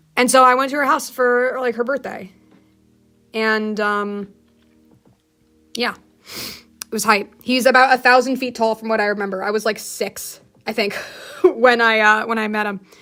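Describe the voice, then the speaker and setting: Music plays in the background as a woman with a fairly high pitch speaks at a moderate pace, with fairly even intonation and long, frequent pauses. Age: 20s. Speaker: livestreamer. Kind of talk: casual chat. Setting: livestream.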